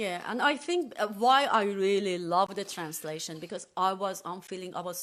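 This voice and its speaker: The speaker has an Iranian accent. The pace is moderate. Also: woman. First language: Farsi. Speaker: podcast co-host and translator. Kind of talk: casual chat. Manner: halting.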